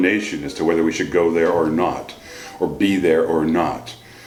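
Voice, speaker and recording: With music in the background and audible room echo, a man speaks in an American accent. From US, central Pennsylvania (Huntingdon). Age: 60s. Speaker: grandfather interviewed for oral history. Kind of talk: oral history interview. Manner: halting, with fillers and restarts.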